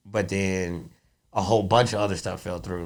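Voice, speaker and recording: A man with a fairly low pitch rushes along at a very fast pace in a monotone, flat intonation, with audible room echo. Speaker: stand-up comedian. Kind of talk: casual interview chat. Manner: loud; fast, halting with repetitions.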